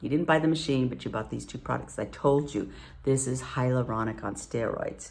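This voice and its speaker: A woman talks with lively intonation. Audible room echo is present. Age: 60s. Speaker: nurse and esthetician giving skincare demo. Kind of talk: tutorial. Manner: casual, chatty.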